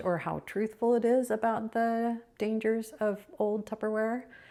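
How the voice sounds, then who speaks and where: A woman with an unremarkable speaking voice talks at a fairly slow pace and a fairly high pitch, captured in a very clean recording with a silent background. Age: 60s. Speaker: decluttering vlogger. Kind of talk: casual vlog monologue. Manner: musing, thinking aloud with pauses.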